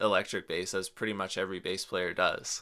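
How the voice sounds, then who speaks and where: On a very clean recording with a silent background, a man speaks with a fairly low pitch and a bright, sharp tone. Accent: western Canadian. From British Columbia, Canada. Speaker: jazz and folk bassist. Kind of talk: interview.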